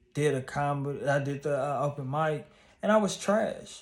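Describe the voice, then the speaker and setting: A man with a plain, everyday voice at a moderate pace and ordinary pitch variation, on a very clean recording with a silent background. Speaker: YouTuber and stand-up comedian. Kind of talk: casual vlog monologue.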